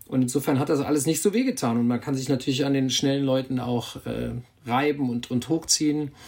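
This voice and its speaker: At a fairly quick pace, a man talks in an ordinary speaking voice with a medium pitch and fairly even intonation. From Germany, Bergisches Land. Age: 50s. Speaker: cycling magazine editor. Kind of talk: casual chat. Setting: video call.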